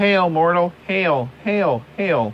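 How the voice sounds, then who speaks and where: A man puts on a character voice pitched high. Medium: stage play.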